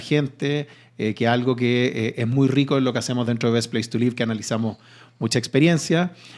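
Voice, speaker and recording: A man speaks at a fairly quick pace with a Chilean accent. His pitch is medium and his intonation fairly even. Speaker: real estate company CEO, engineer. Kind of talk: podcast interview. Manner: hesitant, with fillers.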